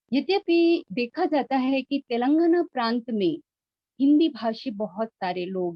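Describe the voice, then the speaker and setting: A woman's high voice with very wide pitch swings. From northern India, Mirzapur (Uttar Pradesh), Awadhi-speaking. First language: Awadhi (speaking Hindi). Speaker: professor. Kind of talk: lecture. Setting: video call. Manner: formal.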